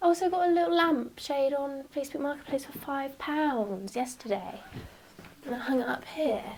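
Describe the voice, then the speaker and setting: This woman has a southern English accent. Her pitch swings very widely. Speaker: upholsterer and small business owner. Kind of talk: casual vlog chat. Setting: home workroom. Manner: slow with long pauses.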